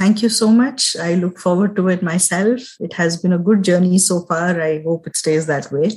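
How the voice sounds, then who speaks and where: Somewhat breathy, a woman talks with hardly any pauses. Her pitch is medium with ordinary variation. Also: moderate pace. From India. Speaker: business consultant and mother. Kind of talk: interview.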